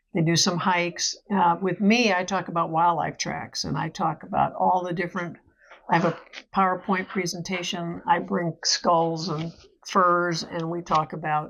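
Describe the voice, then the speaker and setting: A woman with an American accent, fairly low-pitched with vocal fry, monotone and flat at a moderate pace, over a quiet background. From California. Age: 70s. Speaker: hunter and retired wildlife detective. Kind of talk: casual interview chat.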